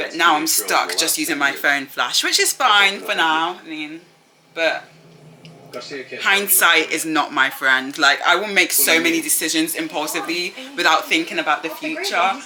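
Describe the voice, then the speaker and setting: With a British accent, a woman speaks in a fairly low pitch with ordinary pitch variation over noticeable background noise. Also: moderate pace. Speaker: student vlogger. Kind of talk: casual vlog chat.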